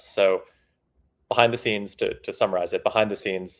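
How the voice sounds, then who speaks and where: A man talks with a North American accent. His pace is very fast. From Canada. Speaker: startup CEO. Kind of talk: interview.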